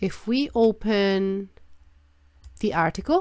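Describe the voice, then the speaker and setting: A woman with a non-native accent speaks on a very clean recording with a silent background. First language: not English. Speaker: trading analysis youtuber. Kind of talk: market analysis tutorial. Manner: halting, searching for words; many filler words.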